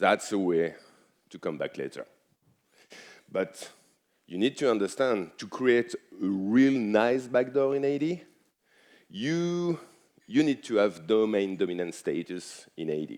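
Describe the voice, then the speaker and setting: A man with a French accent and medium pitch talks at a fairly slow pace, with very wide pitch swings, big swings in loudness, and long, frequent pauses. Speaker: cybersecurity expert. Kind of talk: conference talk.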